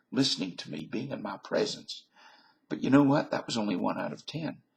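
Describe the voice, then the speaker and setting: A man talks with a Southern US accent. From US South. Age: 50s. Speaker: vlogger. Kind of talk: casual monologue.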